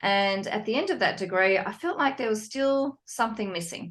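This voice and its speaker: Against a quiet background, a woman speaks with a Sydney accent. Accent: Sydney, Australian. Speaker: psychologist and divorce coach. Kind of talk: podcast interview.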